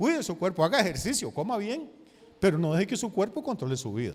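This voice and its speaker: A man with a Costa Rican accent at a very fast pace, high-pitched, with very wide pitch swings. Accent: Costa Rican, noticeable. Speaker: pastor. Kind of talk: sermon.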